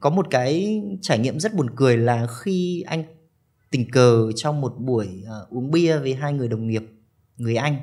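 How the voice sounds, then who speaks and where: Very slowly, a man speaks in a dark, mellow tone. His intonation is lively, and the background is quiet. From Vietnam. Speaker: study-abroad consultant; podcast guest. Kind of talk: interview. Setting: studio. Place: studio. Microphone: studio mic.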